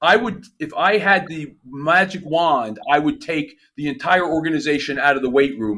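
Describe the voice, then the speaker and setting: A man with a New Jersey accent, a fairly high pitch, and a bright, sharp tone, with lively intonation at a moderate pace and hardly any pauses. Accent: New Jersey American. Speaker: performance coach. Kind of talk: casual chat.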